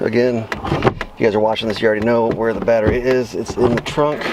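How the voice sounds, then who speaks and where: Against noticeable background noise, a man speaks fairly quickly in a monotone, flat way. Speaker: DIY car repair youtuber. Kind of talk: tutorial. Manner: fast; casual, with many fillers.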